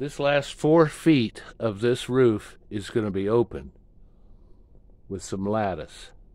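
A man speaks very slowly. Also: dry sound with no echo. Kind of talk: casual vlog tour narration. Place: workshop. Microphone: phone near.

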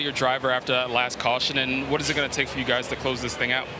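Over noticeable background noise, a man talks at a very fast pace at medium pitch. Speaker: pit road reporter. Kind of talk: race broadcast reporting.

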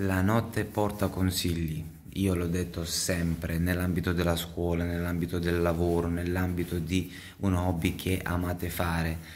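A man with a very deep, low pitch, at a fairly slow pace in a monotone, flat intonation with very even loudness. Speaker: vlogger and computer repair technician; vlogger. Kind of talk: casual vlog talk to camera. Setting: in a car. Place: workshop. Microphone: phone near.

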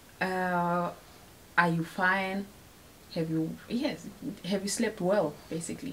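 Very slow speech in a Namibian accent with ordinary pitch variation and long, frequent pauses, over light background noise. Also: woman. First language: Oshiwambo. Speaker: video blogger. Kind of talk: casual chat. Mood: warm, playful. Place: home room. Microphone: camera far.

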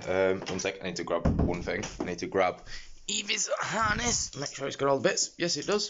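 A man speaks with very wide pitch swings over music in the background. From Yorkshire, England. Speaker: vlogger and streamer. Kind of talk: casual vlog talk to camera. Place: home room. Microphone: phone near.

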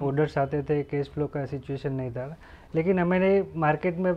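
A man speaks with a Gujarati accent. His voice is fairly high, with fairly even intonation. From Gujarat, India (Junagadh district, rural); Gujarat, India. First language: Gujarati (speaking Hindi). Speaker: guest. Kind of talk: interview. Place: office.

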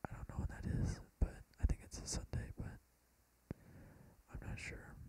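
Whispering at a moderate pace, a man lets his loudness swing widely. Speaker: ASMR creator / YouTuber. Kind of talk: casual talk to camera. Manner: soft-spoken, whispered. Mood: relaxed, a bit tired. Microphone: phone near.

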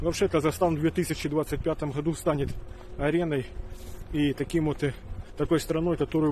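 With a dark, mellow tone, a man talks at a moderate pace, the sound dry without echo and light noise in the background. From Ukraine. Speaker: video blogger. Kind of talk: monologue to camera. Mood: serious, worried. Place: open country. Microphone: phone near.

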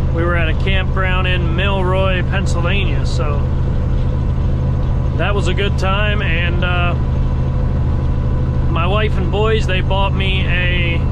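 Speech comes at a very slow pace with long, frequent pauses. The sound is dry with no echo, over loud background noise. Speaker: truck driver vlogger. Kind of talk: casual vlog chat. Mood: relaxed and content. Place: car. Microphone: phone near.

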